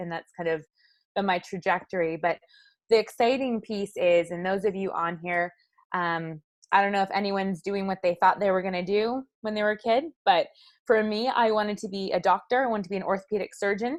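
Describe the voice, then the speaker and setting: Here is a normal speaking voice with ordinary pitch variation. It moves at a fairly quick pace. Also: woman, medium pitch for a woman. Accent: Canadian. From British Columbia, Canada. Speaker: former elite marathon runner. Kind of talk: interview.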